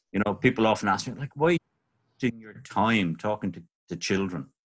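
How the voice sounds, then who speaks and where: With a Dublin accent, a man talks at a fairly quick pace in a medium pitch and with lively intonation. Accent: Dublin Irish. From Ireland, North Dublin. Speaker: birdwatcher and author. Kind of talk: podcast interview.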